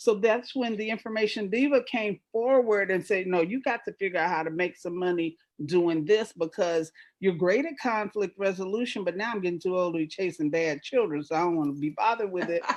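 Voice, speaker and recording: A woman talks at a fairly quick pace against a quiet background. Her pitch sits in the middle range, with ordinary pitch variation. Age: 60s. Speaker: entrepreneur. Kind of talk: panel discussion. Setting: live video panel. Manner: animated.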